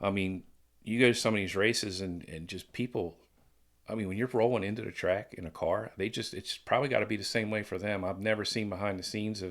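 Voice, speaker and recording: A man with an American accent, fairly low pitch, very fast pace, and fairly even intonation, on a very clean recording with a silent background. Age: 60s. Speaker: former pro BMX rider. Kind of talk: casual chat.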